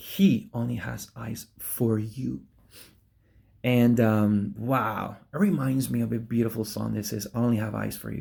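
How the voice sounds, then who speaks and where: A man talks at a fairly slow pace in an animated tone. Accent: Argentine. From Argentina. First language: Spanish. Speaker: preacher. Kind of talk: sermon.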